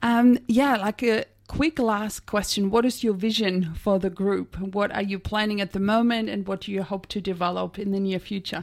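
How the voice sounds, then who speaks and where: At a moderate pace and medium pitch, a woman speaks in an ordinary speaking voice with fairly even intonation and hardly any pauses. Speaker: radio science show host. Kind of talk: radio interview. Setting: radio studio.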